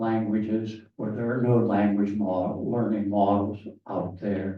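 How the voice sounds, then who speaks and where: There is audible room echo as a man speaks at a fairly slow pace in a somewhat breathy voice. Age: 80s+. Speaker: professor emeritus, language researcher. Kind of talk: panel discussion.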